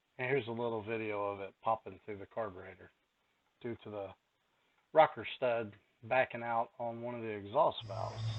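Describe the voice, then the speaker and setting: A man with a rural Kentucky accent speaks at a moderate pace. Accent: Kentucky rural Southern. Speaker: car mechanic YouTuber. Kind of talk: casual tutorial. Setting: garage, partly outdoors in rain.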